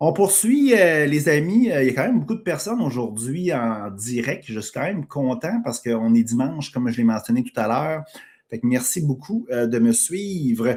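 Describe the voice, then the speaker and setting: A man talks with a Quebec accent. His voice sits fairly high and his intonation is lively. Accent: Québécois French. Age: 40s. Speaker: podcast host and entrepreneur. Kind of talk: live stream monologue. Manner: casual, filler-heavy.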